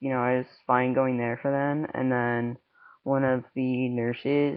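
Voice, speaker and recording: A man speaks at a fairly slow pace in a medium pitch, his intonation flat and monotone. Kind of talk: casual talk to camera. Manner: hesitant, many filler words.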